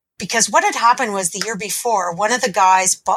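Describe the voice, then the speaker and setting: With a Canadian accent, a woman speaks in a bright, sharp tone and ordinary pitch variation. The sound is dry and close, with no echo. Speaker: teacher and pinball player. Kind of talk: casual interview chat.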